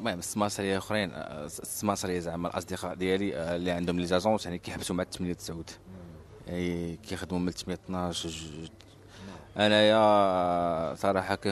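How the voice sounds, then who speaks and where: This man has a very deep, low pitch and a monotone, flat intonation, delivered at a moderate pace. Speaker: real estate agent. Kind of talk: interview. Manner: casual.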